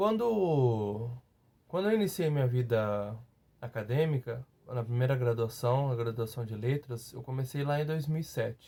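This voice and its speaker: A man's somewhat breathy, dark and mellow voice, medium in pitch with ordinary variation, at a fairly slow pace. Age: 30s. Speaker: teacher, former master's student. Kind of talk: testimony. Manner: halting, many fillers and repetitions.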